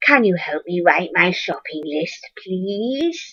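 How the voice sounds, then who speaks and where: A put-on character voice comes through at a middle pitch. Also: fairly slow pace. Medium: read story. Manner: polite, gentle.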